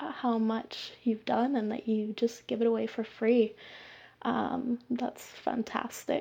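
On a very clean recording with a silent background, a woman speaks very slowly in a nervous, dark, mellow tone, her pitch fairly high and her intonation fairly even. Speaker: listener who sent a voice question. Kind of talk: recorded voice message. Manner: nervous, hesitant, many fillers.

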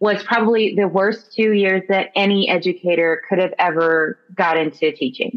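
A woman talks in an unremarkable speaking voice with an American accent. Her pitch is medium, with ordinary pitch variation. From Central Valley, California. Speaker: high school ceramics teacher. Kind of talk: interview.

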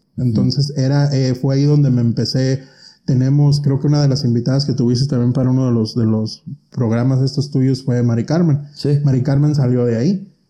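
Somewhat breathy and medium in pitch, a man talks at a fairly quick pace. His intonation is fairly even and his loudness very even. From Mexico (Michoacán, near Apatzingán). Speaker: cosmetologist and pageant director. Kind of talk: casual interview chat.

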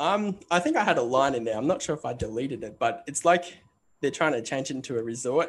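With an Australian accent, a man speaks with lively intonation. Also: fairly quick pace. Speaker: screenwriter. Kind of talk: interview. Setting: remote call.

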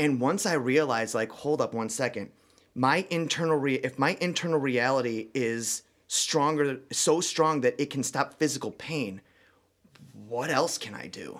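A man speaks in an ordinary speaking voice at a fairly high pitch. His pace is moderate and his pitch variation ordinary. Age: 30s. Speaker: dating coach. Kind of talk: casual chat. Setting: studio.

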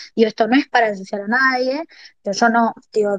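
A woman's fairly high-pitched voice with fairly even intonation, dry and close with no echo. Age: 20s. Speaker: political activist. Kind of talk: testimony.

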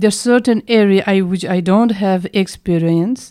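Here a woman speaks with a Tibetan accent at a medium pitch. Her tone is dark and mellow, with ordinary pitch variation. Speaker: Tibetan medicine doctor and teacher. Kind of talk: interview. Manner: halting, hesitant.

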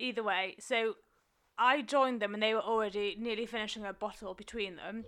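Very fast speech from a woman, fairly high-pitched, with a bright, sharp tone. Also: very clean recording, silent background. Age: 20s. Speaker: podcast co-host. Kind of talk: casual chat. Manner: laughs often.

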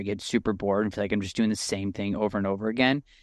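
Over a quiet background, a man speaks in a normal speaking voice with a fairly low pitch and fairly even intonation. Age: young. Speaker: golf photographer and podcast co-host. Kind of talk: casual chat.

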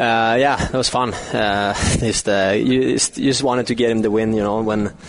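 A man's fairly low voice in monotone, flat intonation, over noticeable background noise. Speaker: hockey player. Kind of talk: post-game interview. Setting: outside locker room. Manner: halting, modest.

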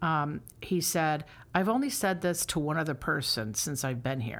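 A woman with an American accent speaks at a moderate pace in a very deep, low pitch with lively intonation, in a very clean recording with a silent background. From upstate New York. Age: 50s. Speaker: theater director and actress. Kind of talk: casual interview.

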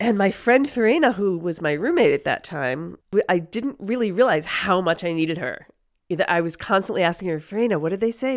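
On a very clean recording with a silent background, a woman with an American accent talks at a fairly quick pace in a plain, everyday voice with lively intonation. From US, New York City then Chicago. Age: 60s. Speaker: long-term expat. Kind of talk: casual chat interview.

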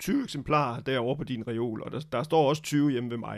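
A man with an unremarkable speaking voice talks at a moderate pace, his fairly high pitch moving with ordinary variation. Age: 50s. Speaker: film critic and journalist. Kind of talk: casual chat.

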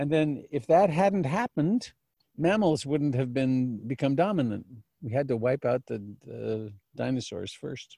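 A man uses a normal speaking voice with a fairly high pitch. He speaks at a fairly slow pace with lively intonation. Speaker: meditation teacher. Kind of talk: dharma talk. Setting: video call.

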